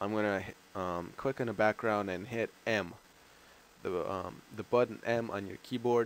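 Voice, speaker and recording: A man with an American accent speaks in a plain, everyday voice. His pitch is fairly low, with ordinary pitch variation, at a moderate pace. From outside the US. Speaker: gaming YouTuber. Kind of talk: tutorial. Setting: screen recording voiceover. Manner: casual, filler-heavy.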